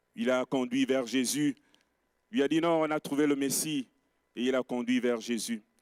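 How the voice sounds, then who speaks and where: Using a fairly slow pace, a man at medium pitch speaks with ordinary pitch variation and big swings in loudness, in a dry, close sound with no echo. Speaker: pastor. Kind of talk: sermon. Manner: soft-spoken.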